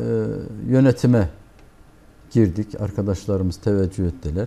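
A man speaks at a fairly slow pace with a fairly low pitch and a dark, mellow tone. His pitch swings very widely. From eastern Turkey, Elazığ; Turkey. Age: 60s. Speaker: community association president and accountant; guest. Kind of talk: TV interview; interview answer. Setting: TV studio. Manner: hesitant, many filler sounds. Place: studio. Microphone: lapel.

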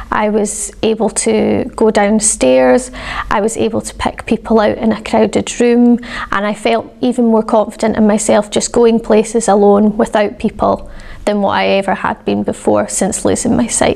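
Her pitch is fairly high, and she speaks in a Scottish accent. The woman keeps a moderate pace and fairly even intonation. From Scotland. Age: 20s. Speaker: patient. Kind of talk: patient testimonial. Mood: calm, positive. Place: home room. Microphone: lapel.

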